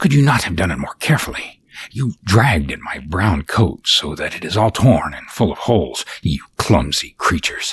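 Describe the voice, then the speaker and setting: Putting on a character voice, a man speaks at a moderate pace in a very deep, low pitch. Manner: indignant, scolding.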